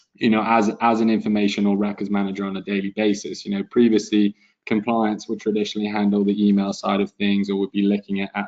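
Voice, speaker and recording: With a non-native accent, a man of fairly low pitch talks at a very fast pace with hardly any pauses and a monotone, flat intonation. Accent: European, noticeable. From Europe. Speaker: webinar moderator, data compliance specialist. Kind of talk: webinar panel discussion. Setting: conference call webinar.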